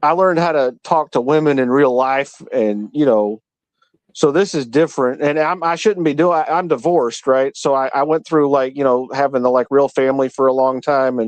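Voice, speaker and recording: At a moderate pace and a fairly high pitch, a man speaks with ordinary pitch variation and very even loudness. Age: 40s. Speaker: live-stream panel guest. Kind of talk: casual chat. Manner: halting, many repeated words.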